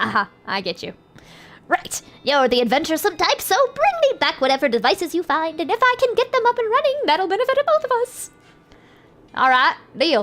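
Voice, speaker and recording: Music plays behind a woman using a put-on character voice. She talks at a fairly quick pace. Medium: game stream. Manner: eager, chatty.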